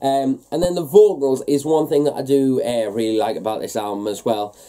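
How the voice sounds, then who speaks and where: Talking at a very fast pace against a quiet background, a man with a medium pitch and a dark, mellow tone shows ordinary pitch variation. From northeast England. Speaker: metal music YouTuber, album reviewer. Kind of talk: casual album review vlog. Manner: hesitant, many fillers. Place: home room.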